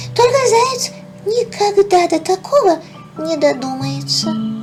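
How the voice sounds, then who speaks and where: A put-on character voice at an extremely high pitch speaks at a fairly slow pace over clear music in the background. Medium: read story.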